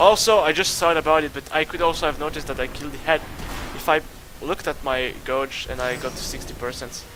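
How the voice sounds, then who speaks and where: A man with a non-native accent and a fairly high pitch, very fast in pace with ordinary pitch variation, music in the background. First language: not English. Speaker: gaming youtuber. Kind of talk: gameplay commentary. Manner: halting.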